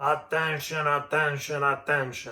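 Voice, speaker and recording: Using a put-on character voice, a man speaks fairly slowly at a fairly high pitch, his intonation monotone and flat. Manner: drawn-out, self-important.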